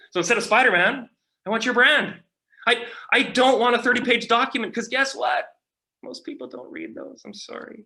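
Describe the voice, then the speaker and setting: A man speaks in an extremely high, bright and sharp voice, raised and projected, with ordinary pitch variation. He goes at a fairly quick pace, with long, frequent pauses and big swings in loudness. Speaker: marketing strategy speaker. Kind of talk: conference presentation. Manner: fast.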